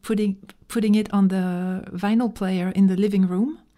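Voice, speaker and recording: In a French accent, a woman speaks at a moderate pace with a medium pitch and a dark, mellow tone. Her intonation is monotone and flat, on a very clean recording with a silent background. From small-town France. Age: 40s. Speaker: musician. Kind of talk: interview. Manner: halting, many fillers.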